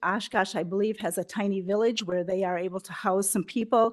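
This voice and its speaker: Speaking with an American accent at a moderate pace, this is a plain, everyday voice with fairly even intonation over a quiet background. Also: woman. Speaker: prevention council representative. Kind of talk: public presentation at county board meeting.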